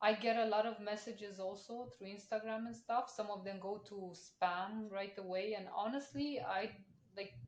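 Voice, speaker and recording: A woman with a non-native accent speaks at a medium pitch and moderate pace with ordinary pitch variation. Her loudness swings widely, and audible room echo is present. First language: not English. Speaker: podcast host. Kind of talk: casual chat.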